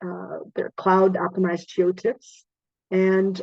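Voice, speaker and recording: In a quiet background with dry sound and no echo, a woman with a dark, mellow tone speaks at a fairly slow pace. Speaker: webinar presenter. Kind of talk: webinar presentation. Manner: hesitant, many fillers. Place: home room. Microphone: video call.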